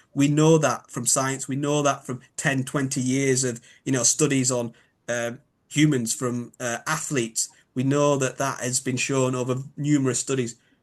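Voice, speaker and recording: Against a quiet background, a man with a Yorkshire accent talks at a moderate pace in a monotone, flat intonation at a medium pitch. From Yorkshire, northern England. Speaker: biomechanics expert. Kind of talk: interview. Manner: hesitant, filler-heavy.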